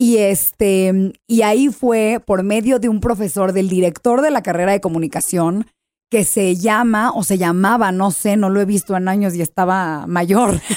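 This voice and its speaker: A woman speaks at a medium pitch and a fairly slow pace, with ordinary pitch variation and very even loudness. The recording is very clean, with a silent background. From US, San Diego. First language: English (speaking Spanish). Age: 20s. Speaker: TV host and actress. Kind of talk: casual chat.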